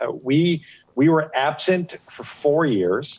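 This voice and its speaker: The man's voice has a dark, mellow tone. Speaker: guest. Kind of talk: interview answer. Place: street.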